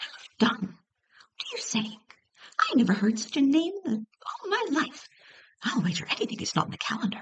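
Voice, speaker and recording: A woman's squeaky, high put-on character voice at a moderate pace, broken by long, frequent pauses. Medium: read story.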